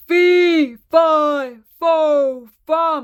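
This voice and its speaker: A bellowing, high-pitched, put-on character voice. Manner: roaring, thundering.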